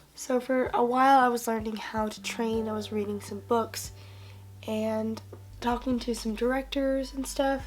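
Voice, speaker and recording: Audible room echo is present. The talking proceeds at a moderate pace. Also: woman. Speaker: lifestyle vlogger. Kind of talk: casual chat.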